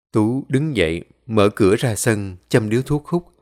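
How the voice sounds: Over quiet surroundings, someone reads in a natural voice.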